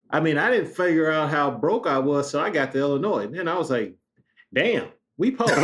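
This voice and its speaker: Animated in tone, a man with an American accent talks at a fairly quick pace in a fairly high pitch, his pitch swinging very widely while his loudness stays very even. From Chicago West Side. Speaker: former pro basketball player. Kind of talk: casual interview chat.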